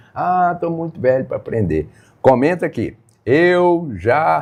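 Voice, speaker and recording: Against a quiet background, a man with a fairly high voice talks very slowly, his intonation lively. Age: 70s. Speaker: live stream host teaching phone use to seniors. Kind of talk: live stream talk to viewers.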